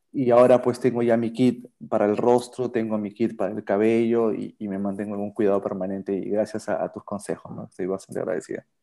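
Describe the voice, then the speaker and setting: In a very clean recording with a silent background, a man with a dark, mellow tone speaks very fast in a monotone, flat intonation with hardly any pauses. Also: medium pitch for a man. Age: 40s. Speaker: patient, advertising professional and musician. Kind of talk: casual interview. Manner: hesitant, with fillers and repetitions.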